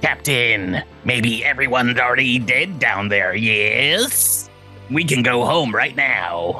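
A put-on character voice moves at a fairly slow pace while clear music plays in the background. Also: man, medium pitch for a man.

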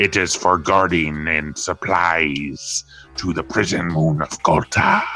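Over music in the background, a man growls in a put-on character voice at a very deep, low pitch. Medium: actual play. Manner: stilted, literal.

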